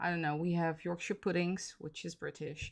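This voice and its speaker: On a very clean recording with a silent background, a woman speaks with a Dutch accent in a fairly low pitch. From Netherlands. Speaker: miniature crafter streamer. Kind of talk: casual livestream chat. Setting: livestream at home. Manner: hesitant, many fillers.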